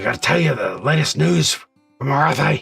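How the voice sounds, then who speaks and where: Using a raspy, put-on character voice at a medium pitch, a man speaks at a moderate pace over faint music in the background. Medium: game stream.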